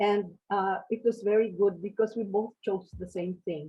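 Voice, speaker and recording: A somewhat breathy woman speaks at a medium pitch and a fairly slow pace. Her intonation is monotone and flat. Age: 80s+. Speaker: retired teacher, seminar participant. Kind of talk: group discussion sharing. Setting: video call.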